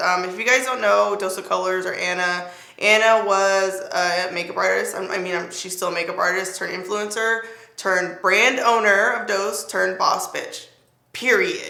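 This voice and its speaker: A woman at medium pitch talks at a moderate pace, with audible room echo around her voice. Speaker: beauty youtuber. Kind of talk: makeup review tutorial. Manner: casual, animated.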